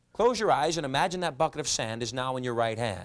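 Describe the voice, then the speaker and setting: The intonation rises and falls in a lively way. The pace is fairly quick. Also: man. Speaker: hypnotist. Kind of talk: hypnotic induction, commanding trance suggestions. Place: studio.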